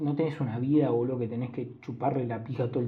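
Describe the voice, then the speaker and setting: With a Rioplatense accent, a man speaks fairly quickly in a flat monotone, somewhat breathy, with audible room echo. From Argentina. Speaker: podcast host. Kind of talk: solo casual monologue.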